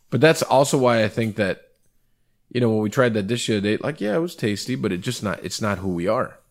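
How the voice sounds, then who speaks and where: At a fairly quick pace and with lively intonation, a normal speaking voice comes through on a very clean recording with a silent background. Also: man, medium pitch for a man. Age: 30s. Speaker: restaurant owner interviewing his executive chef. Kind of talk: casual chat.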